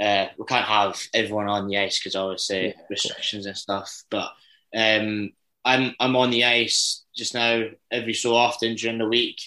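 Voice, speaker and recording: A man with a Dundee accent, medium pitch and a bright, sharp tone, at a moderate pace with monotone, flat intonation. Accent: Dundee Scottish. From Scotland, Dundee. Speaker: ice hockey player. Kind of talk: interview.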